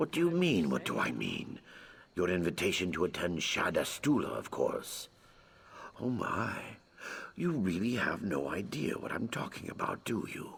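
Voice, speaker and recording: A man puts on a character voice at a moderate pace. His pitch sits fairly low. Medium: video game. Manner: bright, chatty.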